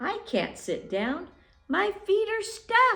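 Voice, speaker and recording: A squeaky, very slow put-on character voice from a woman. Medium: read story. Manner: prim, fussy.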